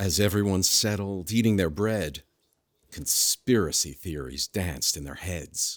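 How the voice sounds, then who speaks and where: A man speaks at a fairly slow pace with a very deep, low pitch and ordinary pitch variation. The recording is very clean, with a silent background. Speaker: unseen narrator. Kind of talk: rhyming storybook narration in a comedy short.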